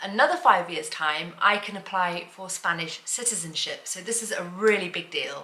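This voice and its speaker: A woman with a British accent speaks at medium pitch and a moderate pace in a bright, sharp tone. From UK. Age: 40s. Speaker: lifestyle vlogger. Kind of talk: personal vlog monologue. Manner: halting, repeats words.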